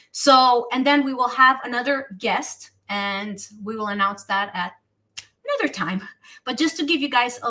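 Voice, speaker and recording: In a Romanian accent, a woman speaks at a high pitch and a moderate pace, her tone bright, sharp and animated, with ordinary pitch variation and big swings in loudness. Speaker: talk show host. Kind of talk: casual chat. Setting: live stream.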